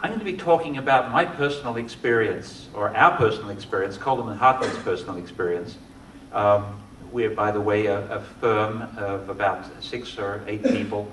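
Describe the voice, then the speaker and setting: A man with an Australian accent speaks at a moderate pace and medium pitch with ordinary pitch variation, amid audible room echo and noticeable background noise. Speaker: architect. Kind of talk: lecture. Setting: lecture hall with audience.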